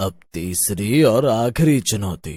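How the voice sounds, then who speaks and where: This is a man using a cartoonish character voice. His pitch sits at a medium level. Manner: calm, authoritative.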